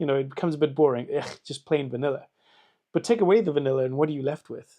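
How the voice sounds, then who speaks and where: Very fast speech in a South African accent, with ordinary pitch variation. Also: man. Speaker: political candidate. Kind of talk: campaign video answering questions. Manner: halting, many fillers.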